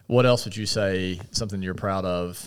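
A man speaks with an American accent at a moderate pace. His pitch is very deep and low, and the recording is very clean with a silent background. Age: 30s. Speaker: podcast host. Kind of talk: interview.

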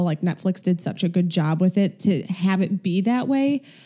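With a Chicago accent, a woman talks at a moderate pace in a medium pitch with a dark, mellow tone and ordinary pitch variation, on a very clean recording with a silent background. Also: very even loudness. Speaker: podcast co-host.

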